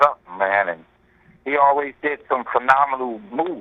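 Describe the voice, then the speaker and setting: This man has a New York accent. His intonation is lively. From New York, the Bronx. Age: 60s. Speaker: hip-hop pioneer MC. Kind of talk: radio interview. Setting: phone call.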